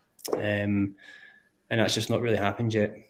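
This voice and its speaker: A man is speaking. He has a Scottish accent. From Scotland. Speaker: crypto community builder. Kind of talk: casual chat. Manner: halting.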